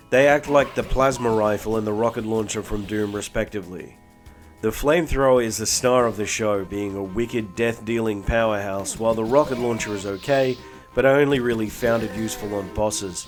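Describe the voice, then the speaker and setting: A man's medium-pitched voice with ordinary pitch variation at a fairly quick pace, music in the background. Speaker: retro game reviewer. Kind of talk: game review narration. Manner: low energy.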